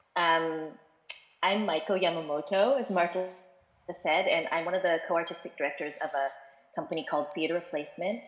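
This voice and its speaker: A woman speaks in a normal speaking voice at a fairly quick pace, her fairly low pitch showing ordinary variation. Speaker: theatre artistic director. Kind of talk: panel talk.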